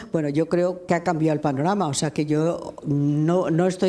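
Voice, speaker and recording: A woman speaks at a fairly low pitch with ordinary pitch variation. Noticeable background noise is present. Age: 80s+. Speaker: lawyer and human rights activist. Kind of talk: public interview. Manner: halting.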